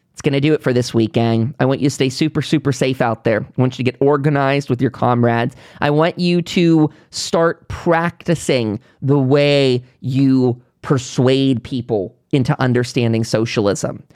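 Speaking at a moderate pace, a man with an American accent has a medium pitch and ordinary pitch variation. His tone is animated, and the sound is dry and close with no echo. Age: 30s. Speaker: podcast host. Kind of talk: solo news commentary podcast.

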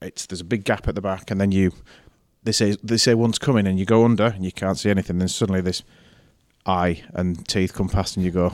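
Over a silent background in a very clean recording, a man with a Yorkshire accent talks very fast in a very deep, low voice with fairly even intonation. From Yorkshire, northern England. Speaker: head of a prep school. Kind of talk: interview.

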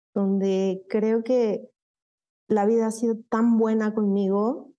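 Music plays behind a woman with a Mexico City accent. She talks at a very slow pace with fairly even intonation. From Mexico City, Satélite area. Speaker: psychologist and HR director. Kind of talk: interview, personal life story.

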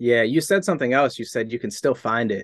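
An unremarkable speaking voice: a man at medium pitch with an American accent and ordinary pitch variation. The background is quiet, the sound dry and close with no echo. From Boston, Massachusetts. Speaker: music producer and rapper. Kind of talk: casual interview chat. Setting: home studio.

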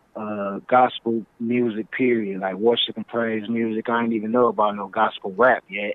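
Speaking with an American accent, a man keeps to a medium pitch. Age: 40s. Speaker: rapper. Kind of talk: interview.

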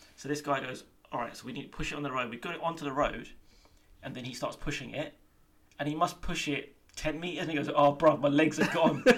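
The speech runs at a very fast pace with fairly even intonation. Loudness swings widely from moment to moment. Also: man, fairly high pitch for a man. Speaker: podcast co-host. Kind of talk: casual chat.

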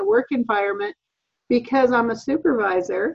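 An unremarkable speaking voice from a woman, fairly high in pitch, with ordinary pitch variation at a moderate pace. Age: 50s. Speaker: work supervisor. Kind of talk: casual chat.

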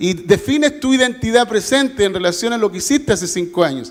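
A man talks at a high pitch. His tone is animated. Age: 50s. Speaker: pastor. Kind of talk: sermon. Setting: church.

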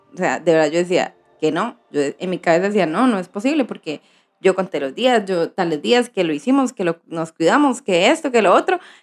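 A woman of medium pitch talks at a fairly quick pace, her pitch swinging very widely. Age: 30s. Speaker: vlogger. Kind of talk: personal vlog.

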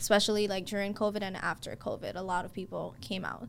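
A woman with an unremarkable speaking voice talks at a medium pitch and a fairly quick pace, her intonation fairly even. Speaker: realtor and coach. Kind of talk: casual interview.

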